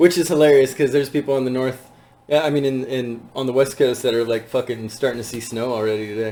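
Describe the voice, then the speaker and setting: Over noticeable background noise, a man at a medium pitch talks at a very fast pace with fairly even intonation. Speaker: podcast host. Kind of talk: casual chat.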